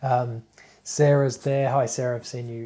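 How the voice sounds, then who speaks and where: Moderate pace in an Australian accent. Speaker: spiritual teacher. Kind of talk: live stream talk. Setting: live Facebook broadcast. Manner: casual, hesitant with fillers.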